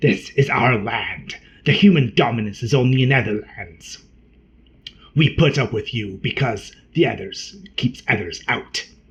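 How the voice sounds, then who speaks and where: A put-on character voice hisses along at a moderate pace. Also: man, medium pitch for a man. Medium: read story. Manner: scornful, quick-tempered.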